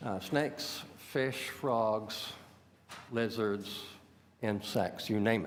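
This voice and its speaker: There is audible room echo as a man talks. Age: 60s. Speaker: exotic animal hobbyist. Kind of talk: public deputation to city committee. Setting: city hall committee meeting. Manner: halting, many fillers.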